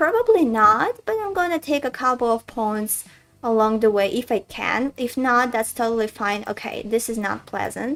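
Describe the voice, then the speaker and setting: A woman with a Russian accent and a fairly high pitch speaks at a moderate pace with ordinary pitch variation in a very clean recording with a silent background. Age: 20s. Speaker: chess streamer and coach. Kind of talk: live game commentary stream. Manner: casual, thinking aloud.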